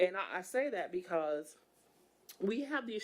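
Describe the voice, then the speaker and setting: Loud and animated, a woman speaks at a fairly slow pace and medium pitch with very wide pitch swings. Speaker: environmental justice advocate, council member. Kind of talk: public meeting discussion.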